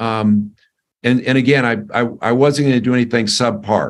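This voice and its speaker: The man's medium-pitched voice moves fairly slowly, its intonation staying fairly level. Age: 60s. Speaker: company executive. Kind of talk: interview. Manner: halting, many fillers and repetitions.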